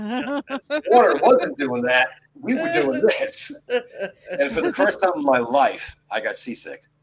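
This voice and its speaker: A man speaks with a New York accent. His pace is very slow. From New York City. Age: 60s. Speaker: podcast host. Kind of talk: casual chat. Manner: animated.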